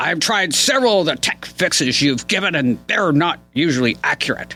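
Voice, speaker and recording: At a moderate pace, a man performs a put-on character voice pitched fairly high. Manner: grumpy.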